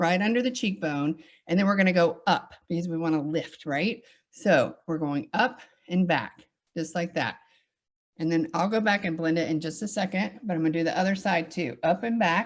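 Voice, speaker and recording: A woman with a Southern US accent, animated in tone, fairly low in pitch, at a moderate pace with ordinary pitch variation. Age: 40s. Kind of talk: tutorial.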